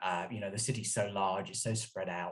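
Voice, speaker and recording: A somewhat breathy man with an English accent, talking at a very fast pace. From England (London). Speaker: author and journalist. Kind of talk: interview.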